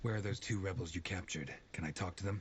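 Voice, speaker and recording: A man does a put-on character voice that is raspy and very deep, at a very fast pace with very even loudness. Background noise is clearly heard. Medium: video game. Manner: curt, commanding.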